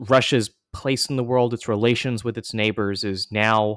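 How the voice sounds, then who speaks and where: In a very clean recording with a silent background, a man with a medium pitch speaks at a moderate pace in a normal speaking voice. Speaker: podcast host. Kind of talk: scripted intro and interview.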